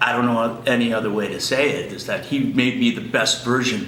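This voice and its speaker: There is audible room echo and noticeable background noise as a man speaks in a medium pitch. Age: 60s. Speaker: clinic patient. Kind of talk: testimonial. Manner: halting, many fillers and repeats.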